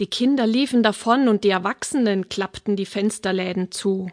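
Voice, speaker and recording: In a plain, everyday voice, a woman speaks at a medium pitch and a fairly slow pace, with fairly even intonation and a dry, close sound with no echo. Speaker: fairy tale narrator. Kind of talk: fairy tale telling, audiobook narration. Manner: warm, unhurried storyteller's pacing; gently expressive, voicing characters.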